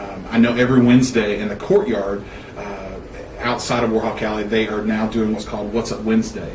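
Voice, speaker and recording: In a room with audible echo and noticeable background noise, a man speaks at a fairly quick pace and medium pitch with a Southern US accent. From Alabama, US South. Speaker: university student affairs administrator. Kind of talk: interview. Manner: loud; animated.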